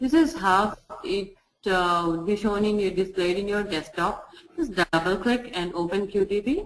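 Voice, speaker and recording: A woman speaks at a moderate pace. Her pitch is medium, with ordinary pitch variation. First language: Telugu. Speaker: software testing trainer. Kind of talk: tutorial. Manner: halting.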